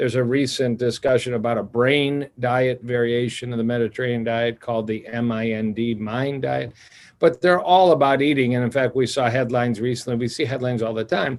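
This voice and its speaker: With a normal speaking voice, a man talks at a fairly quick pace and medium pitch, with hardly any pauses. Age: 60s. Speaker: cardiologist. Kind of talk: interview.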